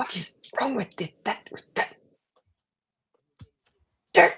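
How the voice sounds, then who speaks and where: A put-on character voice with a rumbling sound and fairly high pitch. It moves at a fairly slow pace. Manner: frustrated grumbling.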